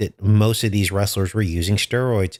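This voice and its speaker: On a very clean recording with a silent background and a dry, close sound with no echo, a man with a slight Californian accent speaks in a fairly low pitch with an animated tone. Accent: slight California. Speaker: political commentary YouTuber. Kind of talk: casual commentary. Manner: conversational, animated.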